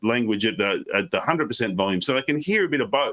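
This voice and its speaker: Lively intonation and a bright, sharp tone come from a man speaking with an Australian accent. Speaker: professional speaker. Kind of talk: interview on a live stream. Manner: fast; energetic.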